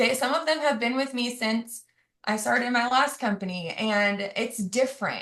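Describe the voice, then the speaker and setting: With ordinary pitch variation, a woman at a fairly high pitch speaks at a moderate pace. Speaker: teacher on a sales team call. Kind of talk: testimony.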